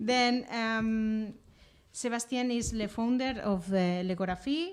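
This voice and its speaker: Speaking at a very slow pace, a woman keeps her loudness very even, her fairly high pitch moving with ordinary variation. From Catalonia, Spain (Lleida). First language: Catalan or Spanish. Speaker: event host and interviewer. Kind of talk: live public conversation at a book presentation. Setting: room with live audience, livestreamed. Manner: halting, hesitant with many fillers.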